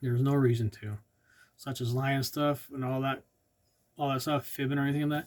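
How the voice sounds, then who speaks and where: Talking at a fairly quick pace with long, frequent pauses, a man keeps a medium pitch and a monotone, flat intonation. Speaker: ordained lay preacher, channel host. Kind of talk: Bible teaching with scripture reading. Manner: soft-spoken, not loud; halting, with fillers.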